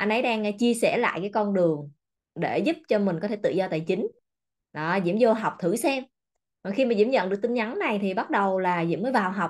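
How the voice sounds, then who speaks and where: Over a quiet background, a woman talks at a fairly quick pace with an animated tone and lively intonation. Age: 30s. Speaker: self-development coach. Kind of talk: motivational seminar talk. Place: office. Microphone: webcam.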